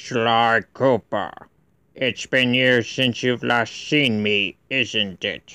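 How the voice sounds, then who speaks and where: A man puts on a character voice at medium pitch and talks at a very slow pace. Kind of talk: voice audition. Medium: voice reel. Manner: menacing, taunting.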